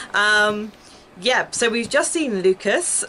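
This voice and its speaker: Light noise sits in the background. A woman's pitch swings very widely as she speaks. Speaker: gaming streamer. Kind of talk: casual gameplay commentary. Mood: chatty, a bit flustered. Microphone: headset.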